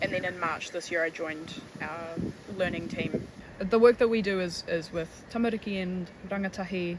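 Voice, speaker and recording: Over noticeable background noise, a woman speaks at a medium pitch with fairly even intonation. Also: moderate pace. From New Zealand. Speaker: tour guide and conservation educator. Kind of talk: documentary interview.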